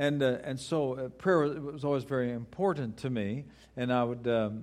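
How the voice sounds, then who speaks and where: An unremarkable speaking voice. The pace is fairly quick. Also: man. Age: 60s. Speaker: guest preacher. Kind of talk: sermon. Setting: church with congregation.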